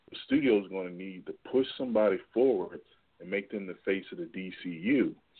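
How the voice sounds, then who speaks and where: A normal speaking voice from a man with an American accent, fairly low pitch, ordinary pitch variation and moderate pace. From Washington DC. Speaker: caller. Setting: phone call.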